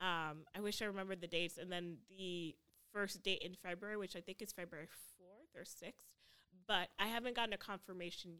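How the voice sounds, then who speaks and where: A woman speaks fairly quickly at a medium pitch, her tone bright and sharp. Her intonation stays fairly even. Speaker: stand-up comedian, newcomer. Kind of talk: casual chat.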